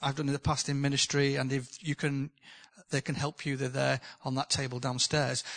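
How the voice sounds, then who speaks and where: In a northern English accent, a man with a fairly high voice talks at a fairly quick pace, the sound dry and close with no echo and the background quiet. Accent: northern English, noticeable. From northern England. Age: 60s. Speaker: preacher. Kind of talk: sermon. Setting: church with live audience.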